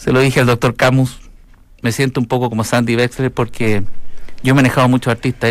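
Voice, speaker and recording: Here is a man with a normal speaking voice. He goes at a fairly quick pace with ordinary pitch variation. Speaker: radio host. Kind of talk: casual chat.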